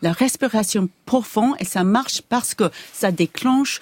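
At a fairly slow pace, a woman talks with ordinary pitch variation, her voice dry and close with no echo. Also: very clean recording, silent background. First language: English (speaking French). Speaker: neuroscientist. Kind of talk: interview. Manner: halting.

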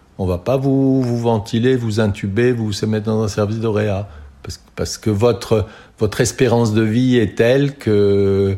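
Dark, mellow tone at a moderate pace, with fairly even intonation, on a very clean recording with a silent background. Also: man. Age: 60s. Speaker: retired doctor in a care home. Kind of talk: testimony. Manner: halting, many repetitions and fillers.

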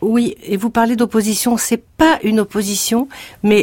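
A woman speaks in a somewhat breathy voice with a fairly high pitch. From Morocco (Casablanca), then Paris from age 10. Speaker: composer. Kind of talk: interview.

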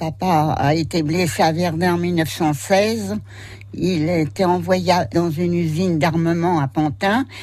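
Her speech comes out very slowly. There is noticeable background noise in the recording. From Paris suburbs, France. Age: 80s+. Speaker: elderly interviewee. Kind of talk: interview. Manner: halting.

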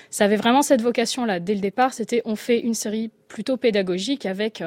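In a dry, close sound with no echo, a woman with an ordinary speaking voice talks at a moderate pace and a fairly high pitch, using ordinary pitch variation. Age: 20s. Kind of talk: radio panel discussion.

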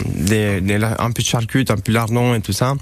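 A man with a fairly low pitch talks at a fairly slow pace with ordinary pitch variation. There is noticeable background noise. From Romania. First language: Romanian (speaking French). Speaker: chef. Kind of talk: radio interview. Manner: halting.

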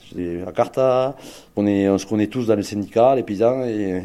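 A dark, mellow tone carries this speech along at a moderate pace. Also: man, quiet background. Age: 40s. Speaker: farmer. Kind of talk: testimony.

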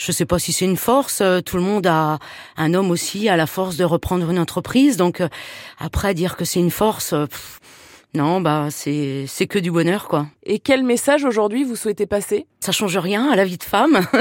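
A woman with lively intonation talks at a moderate pace on a very clean recording with a silent background. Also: medium pitch for a woman. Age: 40s. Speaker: plumber and electrician. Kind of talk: interview. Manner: hesitant.

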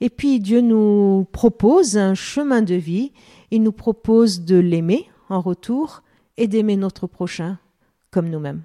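Her tone is dark and mellow, and she speaks very slowly. The woman's recording is very clean, dry and close, with a silent background and no echo. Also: medium pitch for a woman, ordinary pitch variation. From Lebanon. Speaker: pastor. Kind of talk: radio interview.

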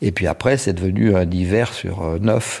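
A man's dark, mellow tone, fairly slow pace and ordinary pitch variation. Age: 60s. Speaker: ski patroller. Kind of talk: interview testimony.

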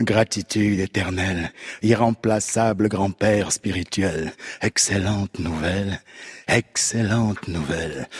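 The voice is somewhat breathy and fairly even in intonation, moving at a very slow pace. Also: man, fairly low pitch for a man, dry, close sound with no echo. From Cameroon. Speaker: actor and slam poet. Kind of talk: slam poetry performance. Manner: rhythmic declamation.

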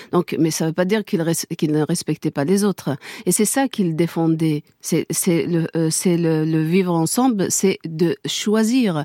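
With an Algerian accent, a woman speaks at a fairly low pitch and fairly slow pace in a dark, mellow tone, with ordinary pitch variation, very even loudness, hardly any pauses, and a dry, close sound with no echo. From Kabylie, Algeria. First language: Kabyle (speaking French). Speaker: widow of a murdered singer, activist. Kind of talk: radio interview, testimony. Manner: halting, many repetitions.

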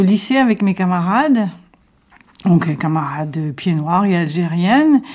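A woman speaks with a fairly low-pitched voice. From Algeria, Sétif. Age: 70s. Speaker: witness, childhood memories. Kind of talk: testimony.

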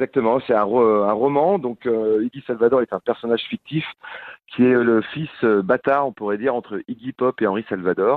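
Ordinary pitch variation in a normal speaking voice, moderately paced. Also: man, medium pitch for a man. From Picardy, France. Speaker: DJ and musician. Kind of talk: radio interview.

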